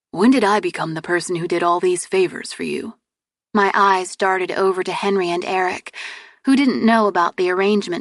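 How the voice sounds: This is a natural reading voice. The background is quiet.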